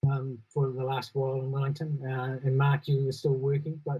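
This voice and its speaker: Here a man speaks with a New Zealand accent at a moderate pace. His voice is fairly high in pitch, somewhat breathy, with a dark, mellow tone. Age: 60s. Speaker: panel moderator, sound studio owner. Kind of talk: panel discussion. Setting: online live broadcast.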